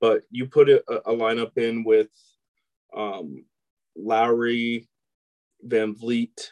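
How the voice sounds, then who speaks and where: Very slow speech with fairly even intonation and a dry, close sound with no echo. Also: man. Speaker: sports podcast co-host. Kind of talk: casual chat.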